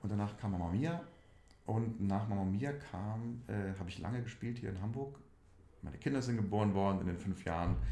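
A man's voice of dark, mellow tone with long, frequent pauses. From Saarland, Germany (Saarlouis district). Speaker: musical theatre actor. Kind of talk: casual interview.

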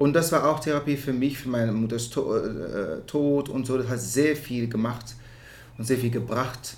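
A somewhat breathy man at a medium pitch and a fairly slow pace, with fairly even intonation and audible room echo. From Netherlands. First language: Dutch (speaking German). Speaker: musical theatre performer. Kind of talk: casual interview. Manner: halting.

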